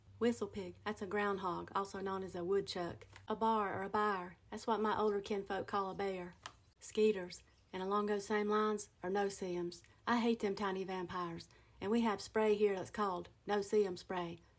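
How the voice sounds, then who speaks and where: In an Appalachian accent, a woman speaks with monotone, flat intonation. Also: medium pitch for a woman, moderate pace. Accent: Appalachian Southern US. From western North Carolina, USA. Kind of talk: casual talk to camera about dialect words. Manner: folksy, humorous.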